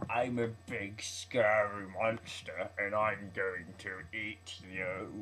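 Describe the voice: A man's put-on character voice, fairly low in pitch and very slow, over clear background noise.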